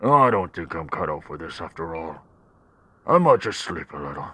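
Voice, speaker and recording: This man puts on a raspy character voice. It sits very deep and low. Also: moderate pace. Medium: game stream.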